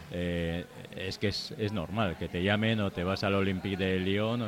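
This man talks with a very deep, low pitch and fairly even intonation. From Bilbao, Basque Country. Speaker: book author. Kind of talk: casual chat. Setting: live show with audience in a bar.

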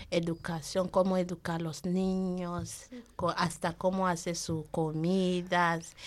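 Very slow and flat in tone, a woman talks with a fairly low voice. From Nigeria. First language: not Spanish (speaking Spanish). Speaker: program participant, mother. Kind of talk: radio interview. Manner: halting.

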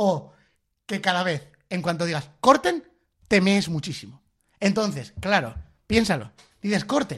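A fairly slow pace with long, frequent pauses over a quiet background. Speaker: comedy radio host. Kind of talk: casual chat. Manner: loud.

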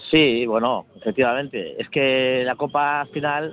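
Fairly high-pitched, this man keeps his intonation fairly even. He speaks at a very slow pace. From Bilbao, Spain. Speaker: football supporters club member. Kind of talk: radio interview.

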